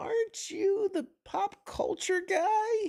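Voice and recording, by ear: This man adopts a put-on character voice pitched extremely high. The delivery comes out very slowly.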